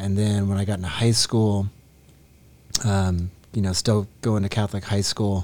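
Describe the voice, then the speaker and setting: A man speaks with an American accent in a dark, mellow tone at a fairly low pitch. His intonation is monotone and flat. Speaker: worship team guitarist. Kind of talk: testimony in conversation.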